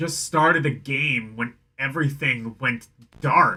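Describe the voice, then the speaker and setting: Using a put-on character voice, a man speaks at a fairly slow pace. His intonation stays fairly even. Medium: game stream.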